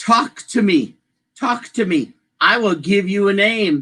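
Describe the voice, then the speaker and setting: Rather slow delivery in a fairly high put-on character voice. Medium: read story.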